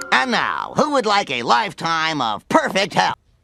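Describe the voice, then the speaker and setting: A cartoonish character voice at a moderate pace. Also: man, high pitch for a man. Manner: sloppy, self-satisfied.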